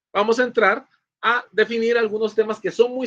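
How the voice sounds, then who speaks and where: Bright, sharp tone from a man using a raised, projected voice. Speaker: law professor. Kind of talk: lecture. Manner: fast.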